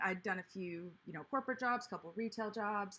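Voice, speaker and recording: At a moderate pace, a woman speaks in a plain, everyday voice of medium pitch with fairly even intonation. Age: 30s. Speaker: planner YouTuber and livestreamer. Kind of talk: casual livestream chat.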